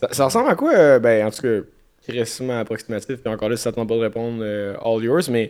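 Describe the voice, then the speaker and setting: A man with a Quebec accent talks at a fairly quick pace in a medium pitch, his tone relaxed and his intonation fairly even. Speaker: podcast host. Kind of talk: casual banter, joking chat. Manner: relaxed, joking, laughing.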